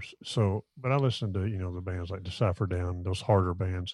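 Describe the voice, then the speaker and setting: With an ordinary speaking voice, a man speaks at a fairly low pitch and keeps a fairly even intonation. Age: 50s. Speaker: bass player. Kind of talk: casual chat. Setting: video call.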